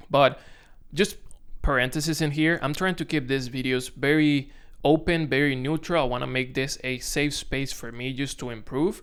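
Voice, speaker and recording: A man with a Dominican accent and a fairly high pitch speaks at a moderate pace with fairly even intonation, on a very clean recording with a silent background. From Dominican Republic. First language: Spanish. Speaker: content creator. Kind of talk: casual vlog to camera. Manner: halting, self-correcting.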